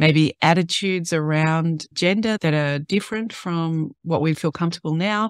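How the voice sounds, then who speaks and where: A woman's fairly low pitch with ordinary pitch variation, dry with no echo, against a quiet background. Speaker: podcast host. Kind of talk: podcast introduction talk.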